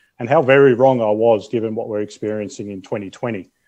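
In an Australian accent, a man speaks at a moderate pace with an enthusiastic tone against a quiet background. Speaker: event host. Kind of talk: virtual event hosting. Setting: video call. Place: home room. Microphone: earbuds.

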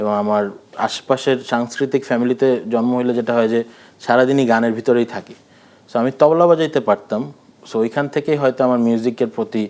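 This man has a normal speaking voice at a medium pitch, with fairly even intonation. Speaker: music director and filmmaker. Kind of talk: interview. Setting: studio.

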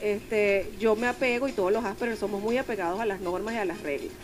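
Over clear music in the background, a woman talks fairly quickly at a fairly high pitch with ordinary pitch variation. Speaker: member of the board of an Asperger foundation, interviewed on radio. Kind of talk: radio interview answer, personal story. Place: studio. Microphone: studio mic.

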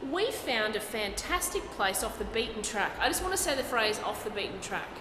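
With an Australian accent, a woman talks at a fairly quick pace. Her pitch swings very widely, and background noise is noticeable. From Brisbane, Australia. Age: 30s. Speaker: stand-up comedian. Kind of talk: interview answer. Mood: jokey, relaxed. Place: hall.

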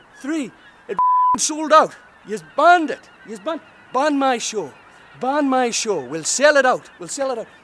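A man speaks at a moderate pace with an extremely high pitch, leaving long, frequent pauses. His loudness swings widely, and there is noticeable background noise. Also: lively intonation. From Northern Ireland. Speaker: stand-up comedian. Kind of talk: stand-up comedy promo with live-style ranting. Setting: direct-to-camera promo video. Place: waterside. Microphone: phone near.

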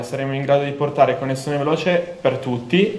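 A man speaks at a moderate pace with a fairly high pitch and fairly even intonation. Audible room echo surrounds his voice. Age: young. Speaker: engineering student; candidate. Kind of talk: campaign speech. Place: hall. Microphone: handheld.

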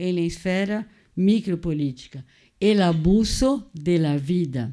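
With a Brazilian accent and a dark, mellow tone, a woman speaks very slowly with lively intonation against a quiet background. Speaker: psychoanalyst and cultural critic; seminar lecturer. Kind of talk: lecture. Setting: museum auditorium with audience. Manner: code-switching between Portuguese and Spanish. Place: classroom. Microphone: podium.

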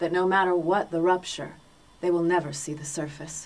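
A woman talks in a fairly low pitch with monotone, flat intonation. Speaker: audiobook narrator. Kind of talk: audiobook narration. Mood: calm, measured literary reading. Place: booth. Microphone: studio mic.

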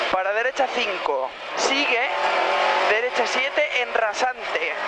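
Someone speaks at a very slow pace over loud background noise. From Spain. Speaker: rally co-driver. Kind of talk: rally co-driver reading pace notes. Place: car. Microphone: headset.

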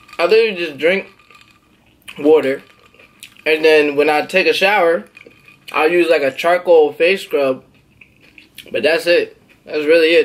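A man talks at a moderate pace with ordinary pitch variation, broken by long, frequent pauses. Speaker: vlogger. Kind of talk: casual eating vlog chat. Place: home room. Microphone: phone near.

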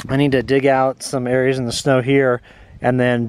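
A man speaks at a moderate pace in a dry sound with no echo, with noticeable background noise. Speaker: off-grid camper vlogger. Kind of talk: casual vlog chat. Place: open country. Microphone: phone near.

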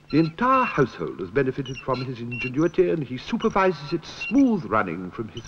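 A man speaks with a fairly high pitch and very wide pitch swings. Noticeable background noise runs under his voice. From British. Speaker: actor. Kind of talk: comic documentary narration.

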